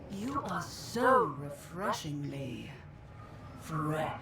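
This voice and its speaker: A put-on character voice at a very slow pace, with slight echo and loud background noise. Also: female-sounding voice, very deep, low pitch for a woman. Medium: game stream. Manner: theatrical, grandiose.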